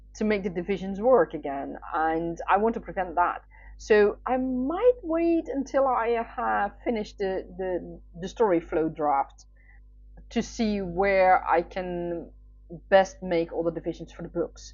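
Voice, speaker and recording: With a Dutch accent, a woman speaks. Her pace is very slow. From Netherlands. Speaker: writer. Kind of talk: casual chat. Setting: livestream. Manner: hesitant, many fillers.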